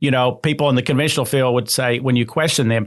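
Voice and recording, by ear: The speech moves at a fast pace with fairly even intonation. The recording is very clean, with a silent background. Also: man, medium pitch for a man.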